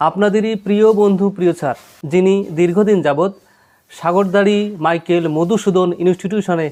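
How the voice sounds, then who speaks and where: This man's voice is high-pitched with a dark, mellow tone and ordinary pitch variation. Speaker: video channel host. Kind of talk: formal presentation to viewers; interview. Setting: guest's home. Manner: formal.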